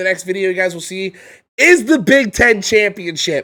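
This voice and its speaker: Against a silent background in a very clean recording, a man with a high pitch speaks in a raised, projected voice, bright and sharp in tone, animated, with lively intonation. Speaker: gaming YouTuber. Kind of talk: casual gameplay commentary. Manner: loud.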